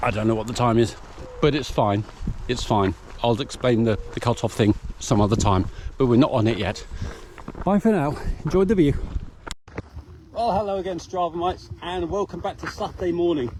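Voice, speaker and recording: A man with a medium-pitched voice talks at a fairly quick pace with very wide pitch swings and long, frequent pauses, over noticeable background noise. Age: 60s. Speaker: ultramarathon runner vlogger. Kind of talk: casual vlog narration. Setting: outdoors. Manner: cheerful, chatty.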